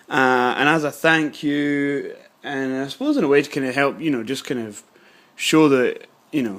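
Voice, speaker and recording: With a British accent, a man speaks with fairly even intonation. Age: 20s. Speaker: scale modelling youtuber. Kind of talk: casual vlog. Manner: hesitant, many fillers.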